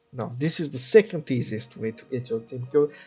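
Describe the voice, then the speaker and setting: A man with a non-native accent speaks over music in the background. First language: not English. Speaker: gaming video creator. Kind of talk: casual gameplay commentary. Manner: hesitant, many filler words.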